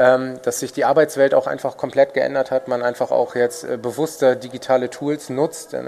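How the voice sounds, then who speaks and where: A man speaks at a moderate pace in a medium pitch, his delivery flat and monotone, with noticeable noise in the background. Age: 30s. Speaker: food startup executive. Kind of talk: interview.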